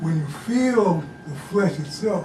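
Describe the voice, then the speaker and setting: Music plays in the background as a man speaks with lively intonation amid audible room echo. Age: 70s. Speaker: martial arts and meditation teacher. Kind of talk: demonstration lesson. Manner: halting, repetitive.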